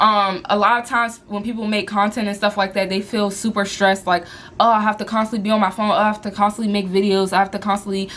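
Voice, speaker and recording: Over noticeable background noise, a woman at medium pitch talks at a very fast pace with hardly any pauses. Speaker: lifestyle and business coach vlogger. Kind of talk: motivational talk to camera. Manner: animated.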